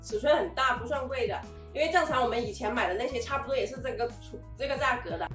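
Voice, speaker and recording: A woman talks at a very fast pace. Audible room echo and faint background music surround her. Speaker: vlogger reviewing a product. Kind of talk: casual vlog chat. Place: home room. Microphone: camera far.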